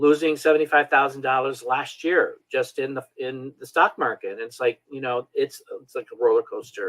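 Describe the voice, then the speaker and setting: A man talks at a moderate pace with hardly any pauses and big swings in loudness. The sound is dry and close, with no echo. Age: 60s. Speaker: holistic wellness coach. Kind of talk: interview.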